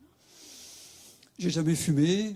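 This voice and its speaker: Ordinary pitch variation marks this man's dark, mellow tone. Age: 60s. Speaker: patient sharing experience. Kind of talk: testimony. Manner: halting.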